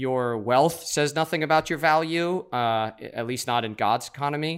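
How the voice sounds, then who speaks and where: In a very clean recording with a silent background, a man with an American accent uses a normal speaking voice at a fairly high pitch with ordinary pitch variation. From New York. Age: 30s. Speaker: church planter and pastor. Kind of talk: interview conversation.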